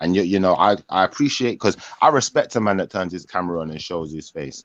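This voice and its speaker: Very fast speech with a London accent, lively intonation and big swings in loudness comes through dry and close with no echo against a quiet background. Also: man, very deep, low pitch for a man. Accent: London multicultural English. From Jamaican heritage, England. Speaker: livestream host. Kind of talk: live online panel chat. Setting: livestream video call.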